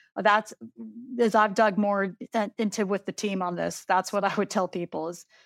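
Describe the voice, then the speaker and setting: A woman's medium-pitched, monotone, flat delivery at a moderate pace with an American accent, on a very clean, silent-background recording with a dry, close sound and no echo. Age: 40s. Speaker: university administrator. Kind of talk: interview.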